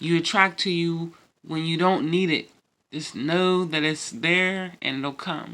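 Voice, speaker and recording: Fairly slow speech from a woman with a fairly low pitch and a bright, sharp tone. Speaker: tarot reader. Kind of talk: tarot card reading.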